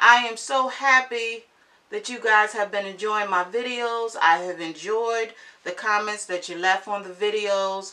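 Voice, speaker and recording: Her tone is bright and sharp, and her pitch is fairly high for a woman. She speaks at a fairly slow pace with lively intonation. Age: 50s. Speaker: beauty vlogger. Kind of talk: makeup tutorial.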